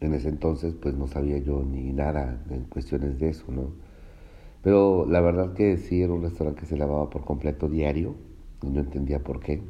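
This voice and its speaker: A man speaks at a moderate pace in a very deep, low voice with fairly even intonation. Room echo is audible. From Mexico, Veracruz (Cuitláhuac). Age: 40s. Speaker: cook. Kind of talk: personal testimony. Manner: hesitant, many fillers.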